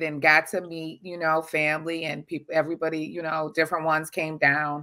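Against a quiet background, a woman with an American accent speaks at a very deep, low pitch in a bright, sharp tone. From US Midwest, suburban Detroit, Michigan. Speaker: adoptee-type DNA client telling her story; guest. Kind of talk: interview testimony. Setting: video call. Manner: halting, many fillers. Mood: earnest, emotional. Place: home room.

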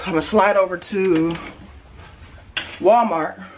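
Over light background noise, a woman talks at a moderate pace with fairly low pitch and ordinary pitch variation. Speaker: mom vlogger. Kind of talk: casual vlog chat. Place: home room. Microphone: phone near.

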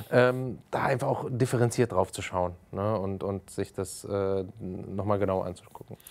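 With ordinary pitch variation, a man talks fairly slowly and at a fairly low pitch. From Germany, Frankfurt (Hesse). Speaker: youth sports official; talk show guest. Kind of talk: interview. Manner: hesitant, many fillers. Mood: calm, thoughtful. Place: studio.

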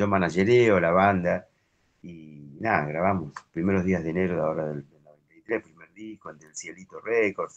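A man with a fairly low pitch and ordinary pitch variation has an ordinary speaking voice. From Argentina. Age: 50s. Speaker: harmonica player; interviewee. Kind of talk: interview. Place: home room. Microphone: video call.

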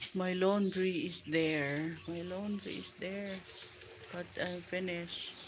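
Over noticeable background noise, a woman speaks at a very slow pace with fairly even intonation. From Philippines (Mindanao); Philippines. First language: Filipino. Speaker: vlogger. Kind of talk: live stream chat. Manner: repetitive. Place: garden. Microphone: phone near.

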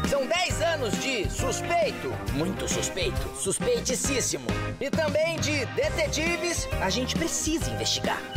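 Loud music plays in the background as the speaker talks at a fairly slow pace. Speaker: channel voice announcer. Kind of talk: TV channel promo read. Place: booth. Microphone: studio mic.

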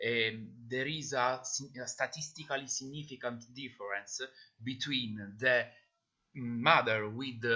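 A man with an Italian accent and fairly even intonation, in a quiet background. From Italy. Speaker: pathologist; conference presenter. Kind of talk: Q&A after a presentation. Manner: halting, many fillers. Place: home room. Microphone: webcam.

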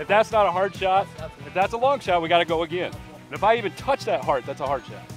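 Over clear music in the background, a man with a high pitch talks at a moderate pace with ordinary pitch variation, his voice dry with no echo. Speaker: archery vlogger. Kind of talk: casual vlog chat. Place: garden.

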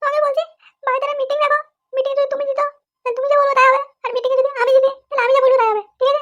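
In a cartoonish character voice, a female-sounding speaker talks very fast at an extremely high pitch with monotone, flat intonation. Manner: nagging, shrill.

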